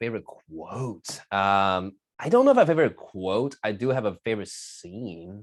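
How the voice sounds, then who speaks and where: A man talks at a moderate pace and a fairly low pitch, with ordinary pitch variation. The recording is very clean, and the background is silent. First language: not English. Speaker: magician and keynote speaker. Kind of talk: casual interview. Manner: halting, repeats words.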